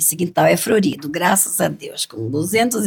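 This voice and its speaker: A woman talks at a fairly slow pace in a medium pitch, her voice somewhat breathy. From Brazil, Cuiabá (Mato Grosso). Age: 70s. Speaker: cultural group leader, grandmother. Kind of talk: interview.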